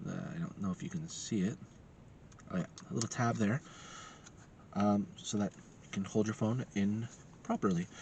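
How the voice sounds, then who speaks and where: At a moderate pace, a man with a fairly low pitch talks in a somewhat breathy voice, his pitch swinging very widely between long, frequent pauses. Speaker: tech reviewer. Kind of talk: product review. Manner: halting, many fillers.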